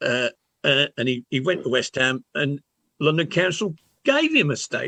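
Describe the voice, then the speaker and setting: A man in a Birmingham accent at a moderate pace, dry and close with no echo. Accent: Birmingham (Brummie) English. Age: old. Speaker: football podcast panelist. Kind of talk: casual chat. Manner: halting, repeats words.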